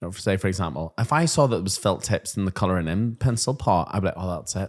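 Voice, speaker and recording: With a Northern Irish accent, a man speaks at a fairly quick pace in a fairly low pitch with lively intonation, recorded very cleanly against a silent background. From Northern Ireland. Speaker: primary school teacher and podcast co-host. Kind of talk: casual chat. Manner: animated.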